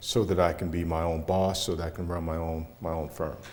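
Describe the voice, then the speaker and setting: Over audible room echo, a man with an American accent and a very deep, low pitch talks at a fairly quick pace in a monotone, flat intonation. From US Midwest, Cleveland, Ohio. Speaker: business owner, chamber leader. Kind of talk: interview.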